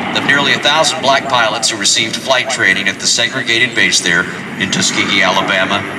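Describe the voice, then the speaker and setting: Loud background noise behind a man's moderately paced speech. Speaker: airshow announcer. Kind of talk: commentary. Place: street.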